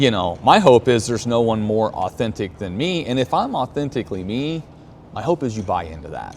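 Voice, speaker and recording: A man talks at medium pitch and a fairly quick pace, with lively intonation and an animated tone. Background noise is noticeable. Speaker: podcast host and business leader. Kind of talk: casual walk-and-talk interview. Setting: outdoors at a racetrack.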